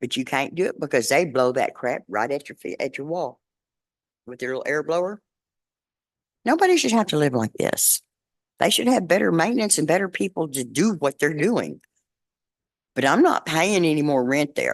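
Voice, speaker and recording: Dry and close with no echo, a woman with a very deep, low pitch speaks at a moderate pace, her pitch swinging very widely between long, frequent pauses. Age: 60s. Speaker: resident making a public comment. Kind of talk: public comment at a council meeting. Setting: city council meeting.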